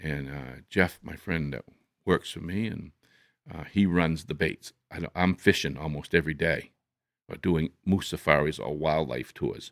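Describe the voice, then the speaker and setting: A man with a very deep, low pitch and vocal fry, moderate pace, ordinary pitch variation and big swings in loudness, in a dry, close sound with no echo on a very clean recording with a silent background. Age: 70s. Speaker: hunting lodge owner and outdoors guide. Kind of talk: casual chat.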